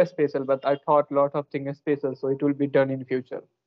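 Over a quiet background, a man with an Indian accent speaks at a fairly high pitch, the sound dry with no echo. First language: an Indian language. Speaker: English learner and youtuber; youtuber. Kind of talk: casual chat. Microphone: video call.

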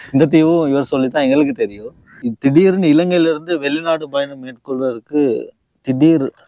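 Fairly high male speech, dark and mellow in tone, with ordinary pitch variation. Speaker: YouTube interviewer. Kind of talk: interview.

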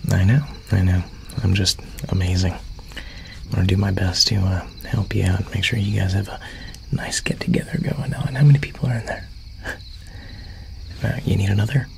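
The speech moves at a moderate pace, broken by long, frequent pauses. Light background noise sits underneath. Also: man. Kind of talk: ASMR roleplay. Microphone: studio mic.

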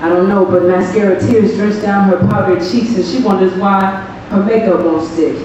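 A woman speaks at a medium pitch and moderate pace with fairly even intonation. Strong room echo and light background noise surround her voice. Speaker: spoken word poet. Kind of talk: spoken word poetry performance. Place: stage.

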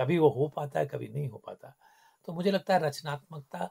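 A man's somewhat breathy, fairly high voice with a dark, mellow tone. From Kumaon, Uttarakhand, India. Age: 60s. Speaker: filmmaker and former broadcaster. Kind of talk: radio interview. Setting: radio studio.

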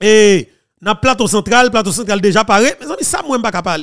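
A man speaks at a high pitch and a moderate pace. His pitch variation is ordinary, and the background is quiet. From Haiti. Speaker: political news commentator. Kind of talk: news commentary. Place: studio. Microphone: studio mic.

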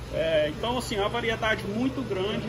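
A man's upbeat, high-pitched voice with very wide pitch swings at a moderate pace, over noticeable background noise. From Brazil. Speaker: store owner or salesman pitching shop promotion. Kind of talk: retail sales pitch, walking tour of the store promoting a sale. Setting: inside a store, filming a walkthrough of sections. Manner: repetitive, promotional, slightly hesitant with stumbles. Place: shop. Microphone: phone near.

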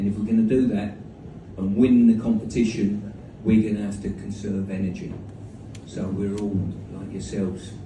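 A man talks at a fairly low pitch in a flat monotone. Audible room echo and noticeable background noise surround him. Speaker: speaker. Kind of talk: storytelling anecdote. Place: hall. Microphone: pa.

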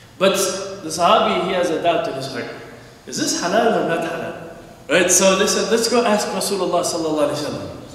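Strong room echo surrounds a man talking at a very fast pace. His voice is high-pitched with ordinary pitch variation. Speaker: preacher. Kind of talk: sermon. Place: church.

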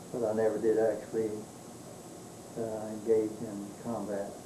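A man with an American accent speaks at a fairly slow pace in a flat monotone. Light background noise and audible room echo are present. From Texas. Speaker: war veteran. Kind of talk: interview answer, recalling wartime service. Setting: home recording of a family oral-history interview. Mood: calm, reminiscing. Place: home room. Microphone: old recording.

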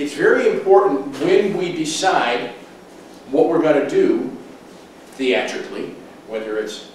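A man's voice carries strong room echo, with light background noise underneath. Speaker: presenter. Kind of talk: lecture. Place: meeting room.

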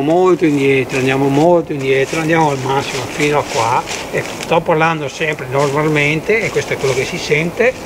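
Against noticeable background noise, a man talks at a fairly quick pace with fairly even intonation. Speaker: tech reviewer. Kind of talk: audio test commentary. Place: forest.

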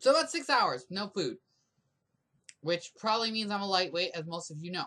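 A raised, projected voice with a bright, sharp, animated tone moves at a fairly quick pace through very wide pitch swings. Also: man, high pitch for a man. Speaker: video blogger, massage therapist. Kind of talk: drunken rant vlog.

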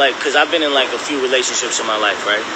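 A man's voice sounds dry, without echo, against loud background noise. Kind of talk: casual livestream chat. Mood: relaxed, candid. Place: street. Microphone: phone near.

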